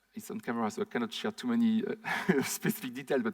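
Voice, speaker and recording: A man with a French accent and very wide pitch swings. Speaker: conference speaker, startup founder. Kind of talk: conference talk Q&A. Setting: stage with audience, recorded. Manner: fast.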